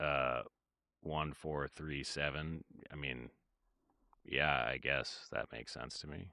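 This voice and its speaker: Very deep and low, a man's voice with vocal fry and a bright, sharp tone moves very slowly in a flat monotone with long, frequent pauses, dry with no echo against a quiet background. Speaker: music producer streamer. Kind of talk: casual livestream chat. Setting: livestream. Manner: halting.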